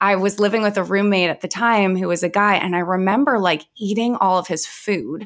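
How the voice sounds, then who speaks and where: Over a silent background on a very clean recording, a woman speaks at a moderate pace in an ordinary speaking voice. Her pitch is medium and her intonation fairly even. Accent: Canadian. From Vancouver, Canada. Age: 30s. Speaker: mental health and wellbeing coach. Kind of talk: interview, personal story and advice.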